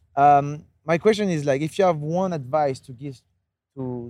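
A man speaks with a fairly high pitch and ordinary pitch variation. It is an unremarkable speaking voice. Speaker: podcast host and freestyle footballer. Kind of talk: casual chat. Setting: outdoors on a rooftop.

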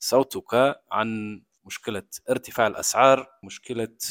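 Here a man talks at a very slow pace with medium pitch and fairly even intonation. The sound is dry and close, with no echo. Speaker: podcast host. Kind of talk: interview.

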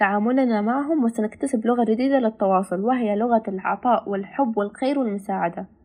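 A woman's fairly high voice with a dark, mellow tone, ordinary pitch variation and a moderate pace, over a quiet background. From Palestine. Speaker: student volunteer. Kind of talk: prepared talk in Standard Arabic. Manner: formal.

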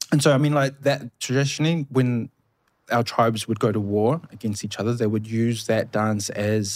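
With a New Zealand accent, a man speaks in a medium pitch with ordinary pitch variation, on a very clean recording with a silent background. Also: moderate pace. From New Zealand, Samoan family. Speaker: cultural community speaker. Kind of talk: casual chat.

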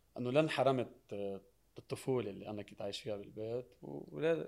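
Here a man has an unremarkable speaking voice at a medium pitch. His pace is moderate. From Lebanon. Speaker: singer and social media personality. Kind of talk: TV talk show interview.

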